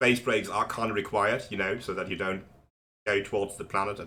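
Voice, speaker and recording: A man's bright, sharp voice at a fairly quick pace. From Germany. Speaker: video game tutorial creator. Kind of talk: tutorial. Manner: casual, with many fillers.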